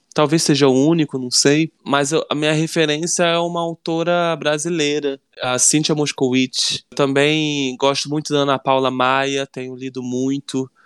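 On a very clean recording with a silent background and a dry, close sound with no echo, a man with a fairly high voice speaks at a fairly slow pace in a monotone, flat intonation, hardly pausing at all. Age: 30s. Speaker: writer and screenwriter. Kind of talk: casual interview.

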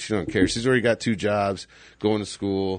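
A man with an American accent speaks in a normal speaking voice at a fairly low pitch. His pace is moderate and the background is quiet. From Phoenix area, Arizona. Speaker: podcast host. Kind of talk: casual chat.

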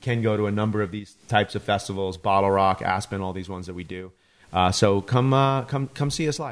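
An unremarkable speaking voice at a fairly quick pace with ordinary pitch variation, over a quiet background. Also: man. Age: 40s. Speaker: podcast host. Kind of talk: casual chat.

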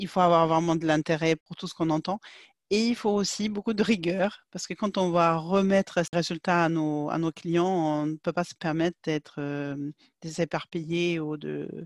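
A woman with a Swedish accent speaks at a moderate pace and fairly low pitch, with fairly even intonation. The recording is very clean, with a silent background and a dry, close sound with no echo. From Sweden. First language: Swedish (speaking French). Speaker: market researcher. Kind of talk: interview. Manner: halting.

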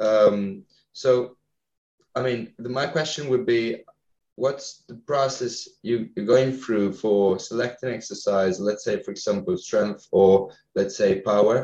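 A dark, mellow tone in an Italian accent, at a very slow pace with ordinary pitch variation. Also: man, medium pitch for a man. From northern Italy. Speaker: podcast host. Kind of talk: interview. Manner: halting.

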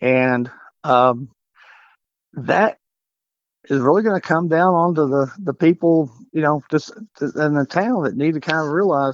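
Speaking with a West Texas accent, a man talks at a moderate pace in a fairly high pitch with ordinary pitch variation, the sound dry and close with no echo. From Texas Panhandle (Canyon). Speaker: mayoral candidate. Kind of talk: interview. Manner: halting.

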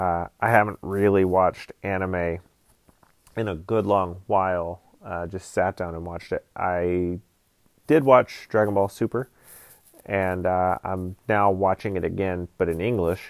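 Fairly slow and fairly even, a man with an American accent speaks at a very deep, low pitch. The sound is dry and close, with no echo. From US South, Georgia. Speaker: podcast host, film editor. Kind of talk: casual solo monologue. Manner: rambling, hesitant with many fillers.

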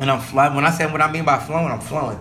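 A man talks at a very fast pace in a fairly high pitch. Audible room echo surrounds his voice. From South Sacramento, California. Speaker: podcast host. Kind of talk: casual monologue. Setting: home basement. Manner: animated.

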